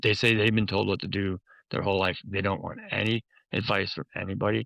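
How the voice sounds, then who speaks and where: A man with an American accent speaks at a fairly quick pace and fairly low pitch, with vocal fry and a bright, sharp tone. The sound is dry and close with no echo, and pitch variation is ordinary. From US Midwest, Chicago. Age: 70s. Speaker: memoir author. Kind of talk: interview conversation.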